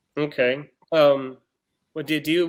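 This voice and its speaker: Fairly high for a man, this voice carries a Texan accent and fairly even intonation. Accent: Texan American English. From Texas. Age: 30s. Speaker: blind date contestant. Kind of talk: casual chat.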